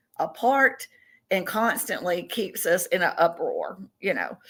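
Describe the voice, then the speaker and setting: In a Southern US accent, a woman speaks at a fairly slow pace in a very clean recording with a silent background. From Tennessee, US South. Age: 60s. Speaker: podcast guest, self-described contactee. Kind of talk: interview.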